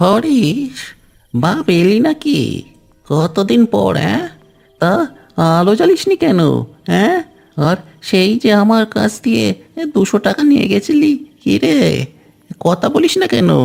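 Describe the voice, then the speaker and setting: Using a cartoonish character voice, a man with a high pitch speaks at a fairly slow pace, his pitch swinging very widely while his loudness stays very even. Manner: fussy, talkative.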